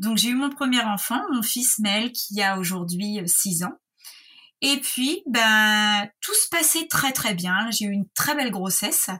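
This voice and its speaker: Her pitch fairly high, a woman talks at a very slow pace. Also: lively intonation. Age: 30s. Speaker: patient with Crohn's disease. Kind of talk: personal testimony. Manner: hesitant, many fillers.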